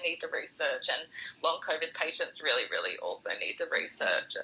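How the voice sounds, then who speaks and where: Fairly fast speech from a woman, noticeable noise in the background. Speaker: long covid patient, audience participant. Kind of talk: casual panel discussion. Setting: audio chat room.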